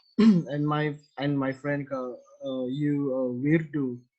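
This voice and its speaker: Speaking in an Indonesian accent, a man with a fairly high pitch and a dark, mellow tone keeps his intonation fairly even. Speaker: podcast host. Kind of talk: casual interview. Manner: halting.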